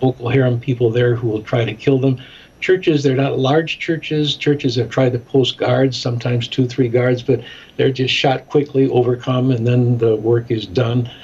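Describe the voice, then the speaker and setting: With an American accent, a man speaks at a moderate pace and medium pitch. His voice is somewhat breathy, his intonation fairly even. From US Midwest, Chicago. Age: 70s. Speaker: ministry director and documentary maker. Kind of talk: interview.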